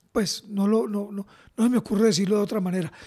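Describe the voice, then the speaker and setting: The quiet background holds a man's voice, pitched high. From Colombia. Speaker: football podcast co-host, former player; football podcast co-host. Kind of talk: casual football chat. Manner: repetitive stammering. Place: home room. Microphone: studio mic.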